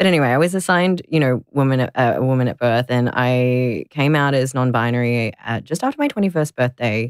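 A speaker with an Australian accent talks at a very fast pace on a very clean recording with a silent background. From Melbourne, Australia. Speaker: content creator and advocate. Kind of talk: interview.

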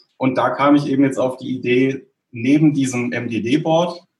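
This man has an ordinary speaking voice, pitched at a medium level with fairly even intonation. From southern Germany, Stuttgart area. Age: 30s. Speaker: software developer. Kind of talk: casual interview. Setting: home office.

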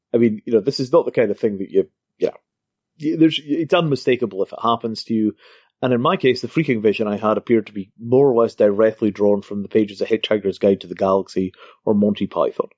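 In a dry, close recording with no echo, a man with a Scottish accent talks at a very fast pace in a medium pitch with ordinary pitch variation. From Scotland. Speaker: crypto entrepreneur. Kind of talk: interview.

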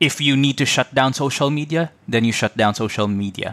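A man's medium-pitched voice in a Visayan Filipino accent, at a moderate pace with ordinary pitch variation. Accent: Filipino (Cebuano) English. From Philippines, Cebu City. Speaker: podcaster, immigrant professional. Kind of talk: interview.

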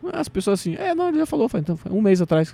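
A man talks with a dark, mellow tone. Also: dry, close sound with no echo. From Brazil, Cuiabá (Mato Grosso). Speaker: stand-up comedian. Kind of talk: casual chat.

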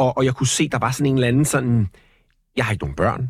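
Somewhat breathy, a man speaks at a very fast pace in a very clean recording with a silent background and a dry, close sound with no echo. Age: 40s. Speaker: radio host and entertainer. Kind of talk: casual interview. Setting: studio.

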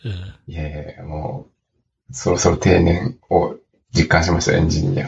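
A man speaks with a very deep, low pitch at a moderate pace. His intonation is lively. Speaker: startup founder and CEO. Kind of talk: casual interview chat.

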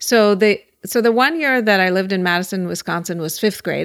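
Heard on a very clean recording with a silent background, an ordinary speaking voice shows ordinary pitch variation. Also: woman. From Pittsburgh, Pennsylvania. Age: 40s. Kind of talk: casual interview. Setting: at her home.

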